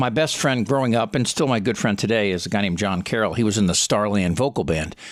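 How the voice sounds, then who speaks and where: With a very clean recording and a silent background, a man speaks at a very fast pace and a fairly low pitch with ordinary pitch variation. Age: 60s. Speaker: talk show host and comedian. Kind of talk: interview conversation. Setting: podcast.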